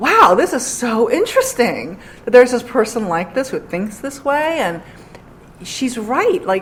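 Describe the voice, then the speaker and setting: Noticeable background noise sits behind a woman whose voice moves in very wide pitch swings. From New York City, Queens. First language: Korean. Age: 40s. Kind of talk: interview.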